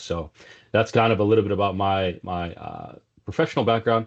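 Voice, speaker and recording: A man speaking at a very fast pace against a quiet background. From South Africa, Cape Town. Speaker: telecom sales executive. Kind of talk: business interview. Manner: casual, many filler words.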